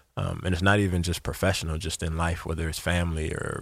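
The speech is very fast, in an American accent, with monotone, flat intonation. The recording is very clean, the background silent. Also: man. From US South. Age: 30s. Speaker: former pro football player, motivational speaker. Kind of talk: interview.

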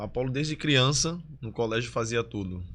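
A man with a Pernambuco accent talks at a moderate pace, his lively intonation running over a layer of vocal fry. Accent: Pernambuco Brazilian Portuguese. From Recife and Olinda, Pernambuco, Brazil. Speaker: dancer and influencer. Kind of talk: casual interview chat.

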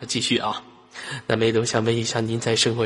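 Amid noticeable background noise, a man with a medium-pitched, animated voice speaks at a very fast pace. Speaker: online voice chat room host. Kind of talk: casual live chat with callers. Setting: online voice chat room. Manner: animated, laughing often.

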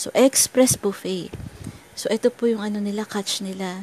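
There is noticeable background noise, yet the sound is dry and close with no echo. A woman with a medium-pitched voice speaks fairly slowly. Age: 40s. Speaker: devotional teacher. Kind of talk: devotional talk.

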